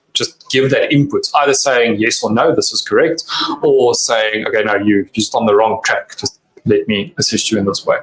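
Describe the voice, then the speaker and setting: This man speaks with a South African accent. His pace is moderate. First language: Afrikaans. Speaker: cybersecurity company representative. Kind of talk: interview.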